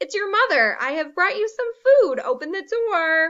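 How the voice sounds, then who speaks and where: At a moderate pace, a woman performs a put-on character voice at an extremely high pitch. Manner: pretending, coaxing.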